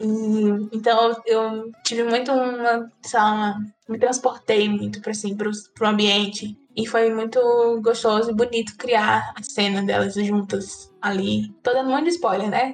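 In an ordinary speaking voice, a woman talks at a fairly slow pace with a fairly high pitch and fairly even intonation. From Northeast Brazil, Ceará (Juazeiro do Norte). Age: 30s. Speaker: writer. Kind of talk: interview conversation.

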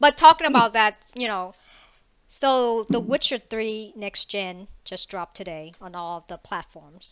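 Speaking at a fairly slow pace, a woman with a fairly high pitch uses lively intonation and big swings in loudness in a normal speaking voice. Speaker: podcast host. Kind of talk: casual chat.

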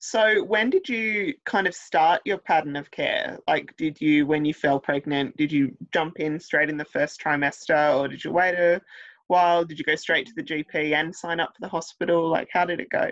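In an Australian accent, a woman with a fairly low voice speaks at a moderate pace with ordinary pitch variation. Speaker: podcast host. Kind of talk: casual interview.

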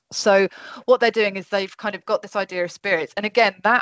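Her pitch is medium and her intonation fairly even. A woman speaks in a normal speaking voice. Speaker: podcast host. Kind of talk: casual chat. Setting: video call.

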